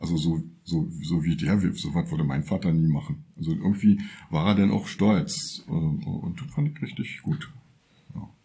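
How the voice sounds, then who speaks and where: A man's fairly low, somewhat breathy voice with a dark, mellow tone, very wide pitch swings and a fairly slow pace. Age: 60s. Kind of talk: personal testimony. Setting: workshop, recorded lying in a bed.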